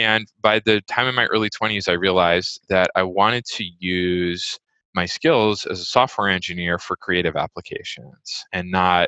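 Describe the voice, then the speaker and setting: A man with a General American accent has a bright, sharp tone and a fairly low pitch, speaking with hardly any pauses. The recording is very clean, with a silent background and a dry, close sound with no echo. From US West Coast, California Bay Area. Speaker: music software executive. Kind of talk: interview conversation.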